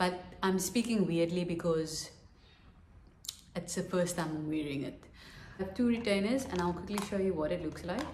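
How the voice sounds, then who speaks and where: Speaking at a moderate pace with long, frequent pauses, a woman with a fairly low pitch and ordinary pitch variation is heard over audible room echo and light background noise. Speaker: vlogger. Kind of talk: vlog. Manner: casual. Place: home room. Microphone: phone near.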